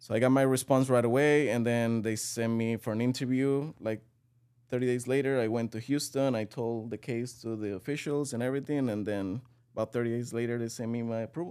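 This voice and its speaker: With a Spanish accent, a man speaks at a medium pitch in a dark, mellow tone. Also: fairly even intonation. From Venezuela. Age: 20s. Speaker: real estate executive. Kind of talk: casual interview.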